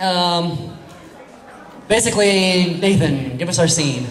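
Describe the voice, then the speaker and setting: A man's high-pitched voice with ordinary pitch variation, light background noise and audible room echo. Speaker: improv show host. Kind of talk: stage hosting to audience. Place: hall. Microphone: pa.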